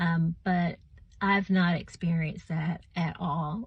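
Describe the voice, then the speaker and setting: The speech moves at a very slow pace and sounds somewhat breathy. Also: woman. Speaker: vlogger sharing health story. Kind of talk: personal testimony. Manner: halting, many fillers.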